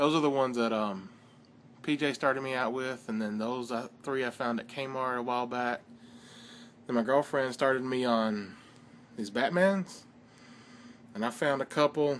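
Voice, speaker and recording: With a Southern US accent, a man speaks in a relaxed tone at a moderate pace, with ordinary pitch variation, long and frequent pauses, and light background noise. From US South. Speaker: toy car customizer. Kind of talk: casual video tutorial. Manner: relaxed, rambling with fillers. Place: home room. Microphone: phone near.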